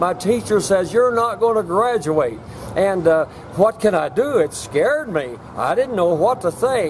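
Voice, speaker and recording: Noticeable background noise surrounds a man with a high pitch and an American accent who speaks at a fairly slow pace. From US Midwest, Southwest Missouri. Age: 80s+. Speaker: retired entrepreneur. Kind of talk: storytelling. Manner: halting.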